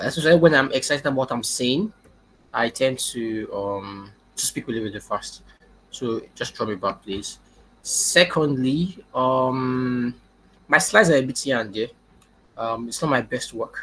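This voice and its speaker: Using a plain, everyday voice, a man speaks with lively intonation. His pitch is medium. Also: moderate pace. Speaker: machine learning engineer. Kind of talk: webinar talk.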